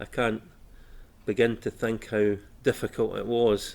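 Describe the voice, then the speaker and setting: Medium-pitched man with a Scottish accent. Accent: Scottish (Fife). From Scotland, Fife (Inverkeithing). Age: 60s. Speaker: oral history interviewee. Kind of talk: interview. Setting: civic centre room. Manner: hesitant, many fillers.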